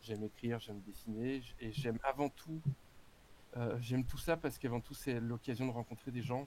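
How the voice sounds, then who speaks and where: The speech keeps fairly even intonation and moves at a moderate pace. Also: man, medium pitch for a man. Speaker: actor and tabletop game author. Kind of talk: casual chat. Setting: live stream voice chat. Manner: halting, many hesitations.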